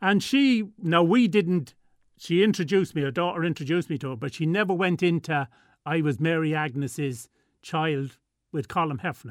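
The speaker has an Irish Midlands accent and lively intonation at a moderate pace. The recording is very clean, with a silent background. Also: man, fairly high pitch for a man. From Ireland, Tullamore, County Offaly. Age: 60s. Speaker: guest sharing family story. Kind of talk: radio interview. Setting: studio.

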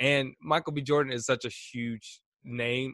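A man with a medium pitch speaks with an American accent. His tone is bright and sharp, and the sound is dry and close with no echo. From Indianapolis, US Midwest. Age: 20s. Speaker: video producer and on-air host. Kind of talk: casual interview chat.

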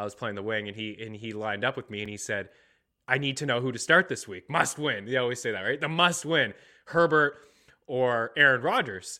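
A man with an unremarkable speaking voice talks at medium pitch and a fairly quick pace. His intonation is lively, with big swings in loudness. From Nova Scotia, Canada. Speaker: sports betting podcast host. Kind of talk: casual sports chat.

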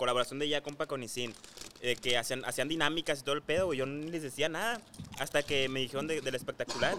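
Noticeable noise sits in the background. The talking is very fast. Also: man. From Hermosillo, Sonora, northwest Mexico. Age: 20s. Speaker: influencer. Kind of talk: casual chat.

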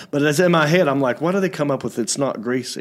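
In a very clean recording with a silent background, a man speaks with a fairly high-pitched voice. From Hickory, North Carolina. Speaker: podcast host. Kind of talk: casual comedic chat show. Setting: studio with live video stream. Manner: animated, energetic.

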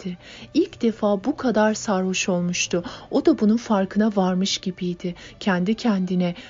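The voice belongs to someone reading. It is a natural reading voice.

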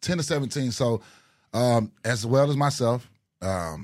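In an American accent, a man talks at a medium pitch with lively intonation. The recording is very clean, with a silent background. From Dallas, Texas. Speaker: podcast co-host. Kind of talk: casual chat. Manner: animated.

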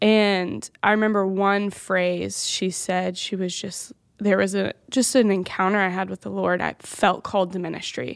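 A woman with a slight Southern US accent speaks with hardly any pauses. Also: moderate pace. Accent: slight Southern twang. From Louisiana. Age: 20s. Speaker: youth pastor. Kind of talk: personal testimony.

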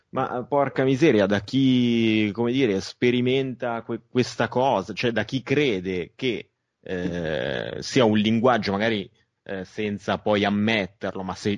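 A man talks in a normal speaking voice at a fairly slow pace with ordinary pitch variation against a quiet background. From Milan, northern Italy. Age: 30s. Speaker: film director. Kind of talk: interview.

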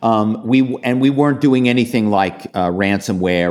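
A man with an American accent has a plain, everyday voice and lively intonation. He keeps a moderate pace on a very clean recording with a silent background. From Philadelphia. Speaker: author and former corporate spy. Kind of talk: interview.

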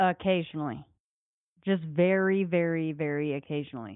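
A woman with an American accent and a normal speaking voice, fairly low in pitch, at a moderate pace. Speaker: podcast host. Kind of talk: casual chat.

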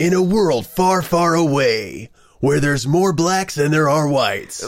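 The put-on character voice sits at a middle pitch and keeps a moderate pace. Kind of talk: dramatic.

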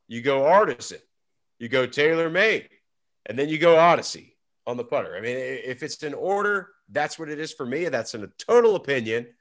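A man with an ordinary speaking voice talks at a fairly quick pace and fairly high pitch, with lively intonation and big swings in loudness, over a quiet background. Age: 30s. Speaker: golf podcast co-host, pro golfer. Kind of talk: casual chat.

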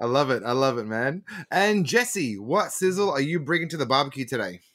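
The speaker has an Australian accent and a fairly quick pace. Their intonation is lively. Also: man. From Melbourne, Australia. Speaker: podcast host. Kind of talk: casual chat.

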